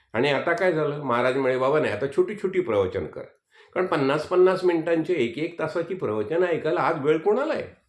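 Vocal fry runs through this voice against a quiet background. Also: man. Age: 70s. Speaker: spiritual teacher. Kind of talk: religious discourse.

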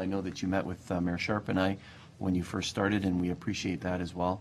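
A man talks at a fast pace in a low pitch, with vocal fry.

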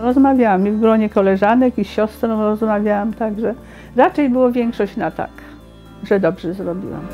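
In a Polish accent, a woman speaks at a fairly high pitch and a moderate pace with ordinary pitch variation while music plays in the background. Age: old. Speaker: retiree. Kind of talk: interview answer.

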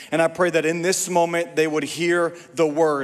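This man talks at a moderate pace. His intonation is monotone and flat. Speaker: preacher. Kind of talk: prayer before sermon. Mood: earnest, fervent. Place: church. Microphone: handheld.

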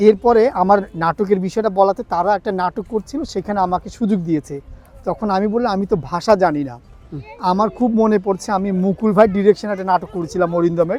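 High-pitched man's voice with ordinary pitch variation, dry and close with no echo. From Bangladesh, Chittagong. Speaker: stage actor. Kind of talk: interview.

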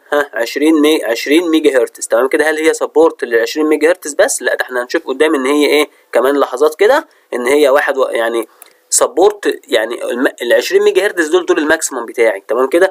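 With an Egyptian accent, a man speaks at a fairly quick pace in a dry, close sound with no echo. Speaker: university lecturer. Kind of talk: lecture.

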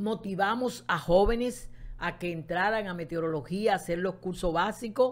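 A woman speaks at a moderate pace with a medium pitch. It is a normal speaking voice. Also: ordinary pitch variation. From Dominican Republic, Santo Domingo. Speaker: meteorologist. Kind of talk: interview. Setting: studio.

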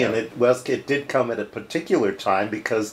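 A man at a moderate pace, ordinary pitch variation, light background noise. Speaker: interviewer. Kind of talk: interview questions. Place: office. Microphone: lapel.

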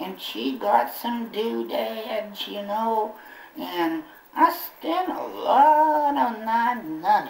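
A cartoonish character voice from a man, high in pitch and at a very slow pace. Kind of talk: ventriloquist comic patter. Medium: puppet show. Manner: folksy, rambling, comically put-upon.

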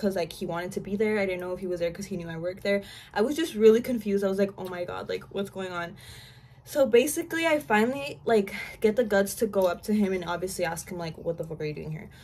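A woman talks at a very fast pace, her intonation lively and her loudness swinging widely. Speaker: vlogger. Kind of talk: casual storytime chat. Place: home room. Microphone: camera far.

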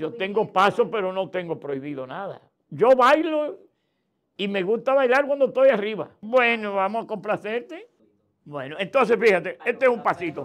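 A man's high voice swings very widely in pitch. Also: moderate pace. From Dominican Republic. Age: 70s. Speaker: political activist; interview guest. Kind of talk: interview. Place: studio. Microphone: lapel.

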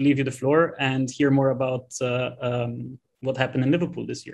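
This is a man speaking at a fairly high pitch. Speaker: host introducing an online event. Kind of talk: moderating a webinar. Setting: video call. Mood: friendly, pleased.

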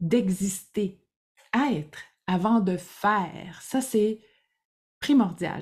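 A woman's very slow, somewhat breathy voice in a Quebec accent, medium in pitch with a dark, mellow tone and ordinary pitch variation, over a quiet background. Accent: Québécois French. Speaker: creativity coach. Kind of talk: casual monologue to camera; casual vlog chat. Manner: halting, many fillers. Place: home room.

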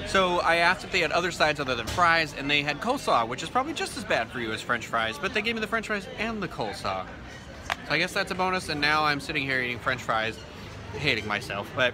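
A man at a very fast pace amid noticeable background noise. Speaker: food vlogger. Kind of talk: casual vlog chat. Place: cafe. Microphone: phone near.

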